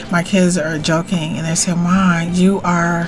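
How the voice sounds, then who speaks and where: With music in the background, a woman speaks at a fairly slow pace in a fairly low voice. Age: 50s. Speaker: spiritual teacher and author. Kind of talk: casual talk to camera. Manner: warm, chatty.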